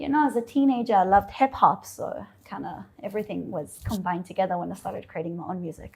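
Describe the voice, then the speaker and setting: A woman talks at a very fast pace with hardly any pauses and big swings in loudness. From Israel (Eilat) then South Africa (Johannesburg) as a teen. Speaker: singer-songwriter. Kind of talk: interview chat.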